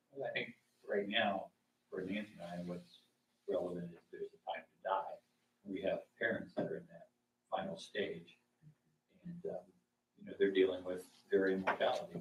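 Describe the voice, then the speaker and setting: At a moderate pace, a man talks with long, frequent pauses and big swings in loudness. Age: 60s. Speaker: Bible class participant. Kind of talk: group discussion.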